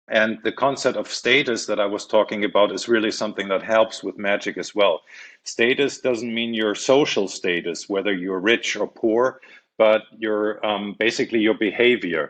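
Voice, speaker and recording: Over a quiet background, a man with a German accent speaks at a moderate pace and a fairly low pitch. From Germany. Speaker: magician and comedian. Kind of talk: interview. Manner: halting, many fillers; animated.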